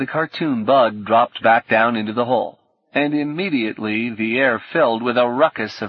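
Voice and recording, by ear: Someone reads aloud in a natural voice while the background remains quiet.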